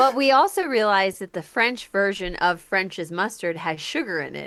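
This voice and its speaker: With an American accent, a woman speaks in a bright, sharp tone with lively intonation. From United States. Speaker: English teacher and podcast co-host. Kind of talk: casual chat. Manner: animated.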